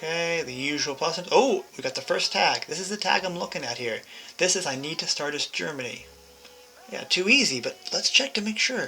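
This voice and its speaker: Someone talks at a fairly quick pace against noticeable background noise. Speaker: video game guide creator. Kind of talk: tutorial. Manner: casual and chatty with self-corrections.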